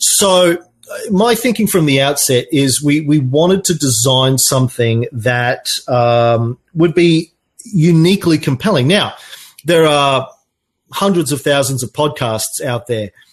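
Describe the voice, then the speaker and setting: Speaking with an Australian accent, a man talks at a fairly slow pace. His fairly high voice is somewhat breathy, with lively intonation. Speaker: podcaster and marketing agency owner. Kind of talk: online talk with live Q&A.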